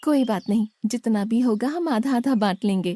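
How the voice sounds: A female-sounding, cartoonish character voice with a warm, gentle tone and a fairly high pitch. It moves at a moderate pace.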